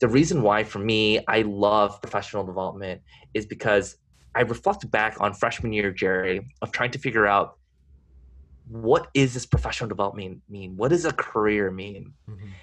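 A man with an ordinary speaking voice, a moderate pace, ordinary pitch variation and big swings in loudness. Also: fairly low pitch for a man, quiet background. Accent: American. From California. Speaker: corporate strategy manager. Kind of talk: interview.

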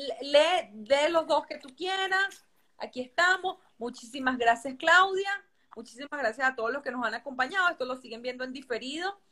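A woman with a high pitch uses a raised, projected voice at a moderate pace, with lively intonation and big swings in loudness. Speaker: interviewer. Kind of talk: interview.

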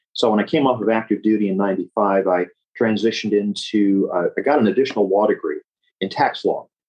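This is an unremarkable speaking voice, fairly quick in tempo, with intonation that stays fairly even. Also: man, fairly low pitch for a man. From Memphis, Tennessee (US South). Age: 60s. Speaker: estate planning attorney, Navy veteran. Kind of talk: interview.

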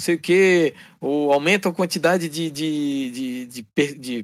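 This is an ordinary speaking voice. Its intonation is fairly even. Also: man. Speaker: gamer, co-host helper. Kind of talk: casual chat. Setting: online call.

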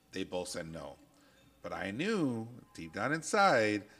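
Music runs underneath the recording. The man's delivery is fairly slow. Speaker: podcast co-host, industrial supply branch manager. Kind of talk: casual chat. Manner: loud.

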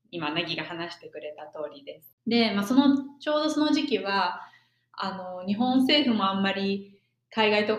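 A woman with a normal speaking voice uses lively intonation. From Japan. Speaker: podcast co-host, exchange student. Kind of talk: casual chat.

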